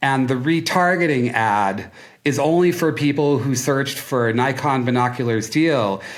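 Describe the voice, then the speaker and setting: An animated man at a medium pitch, with ordinary pitch variation, very even loudness and a moderate pace, plus audible room echo. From Minnesota (Duluth). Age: 60s. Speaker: marketing agency founder. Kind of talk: podcast interview.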